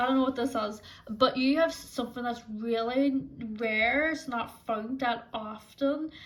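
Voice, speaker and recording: A woman's high voice in a Northern Irish accent, with fairly even intonation. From Northern Ireland. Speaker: tarot reader. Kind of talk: tarot pick-a-card reading. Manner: casual, lots of filler words.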